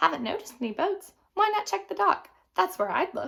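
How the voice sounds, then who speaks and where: Putting on a character voice, a woman speaks at a fairly quick pace with very wide pitch swings. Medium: read story.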